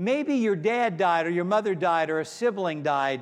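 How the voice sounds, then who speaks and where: Pitched fairly high, a man with an American accent talks with very wide pitch swings. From US, Pittsburgh, Pennsylvania. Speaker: pastor. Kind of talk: sermon.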